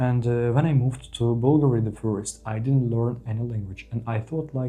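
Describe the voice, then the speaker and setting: With a Ukrainian accent, a man talks at a moderate pace in a somewhat breathy, medium-pitched voice with a dark, mellow tone and fairly even intonation. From Ukraine. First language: Ukrainian or Russian. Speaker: vlogger. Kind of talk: personal advice monologue. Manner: halting, many fillers.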